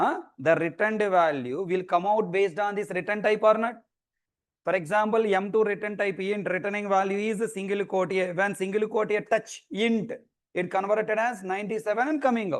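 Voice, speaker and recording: Against a quiet background, a man with a high pitch speaks at a fairly quick pace. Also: ordinary pitch variation. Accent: Indian. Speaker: programming teacher. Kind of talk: lecture. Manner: fast; animated.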